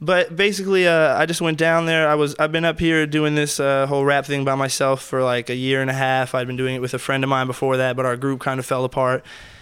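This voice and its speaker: Very fast and with hardly any pauses, a man with an American accent speaks in a fairly high voice with fairly even intonation over noticeable background noise. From California, military family. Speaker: rapper. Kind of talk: casual interview chat.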